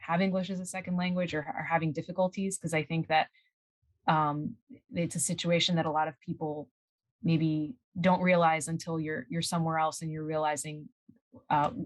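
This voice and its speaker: Long, frequent pauses break up moderately paced speech with fairly even intonation. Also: woman, fairly low pitch for a woman. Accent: Spanish. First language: Spanish. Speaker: scientist. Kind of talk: interview. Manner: halting.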